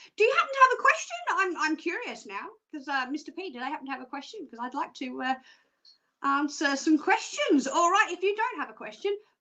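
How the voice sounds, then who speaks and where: A woman speaks in a raised, projected voice at an extremely high pitch with very wide pitch swings. Her bright, sharp tone moves at a fairly quick pace with big swings in loudness. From Australia. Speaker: psychic show presenter. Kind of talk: live stream presenting. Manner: casual, chatty, many fillers.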